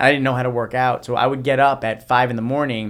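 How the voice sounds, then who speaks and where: A man talks at a very fast pace in an American accent. His intonation is monotone and flat. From New Jersey. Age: 30s. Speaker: motivational speaker. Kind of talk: podcast interview.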